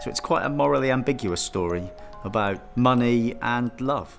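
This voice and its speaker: Music plays behind a man speaking at a medium pitch. His pace is moderate and his intonation lively. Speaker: puppet maker. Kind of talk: interview answer.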